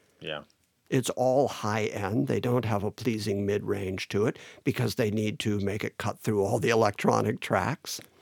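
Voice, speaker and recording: A man with an American accent talks in a fairly low voice with vocal fry, and the sound is dry and close with no echo. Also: ordinary pitch variation, moderate pace, very clean recording, silent background. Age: 60s. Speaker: musician. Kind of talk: casual chat.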